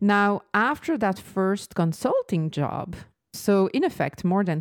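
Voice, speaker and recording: Speaking at a fairly slow pace with a slight French accent, the voice comes through in a very clean recording over a silent background. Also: woman. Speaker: business coach. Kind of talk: solo podcast monologue.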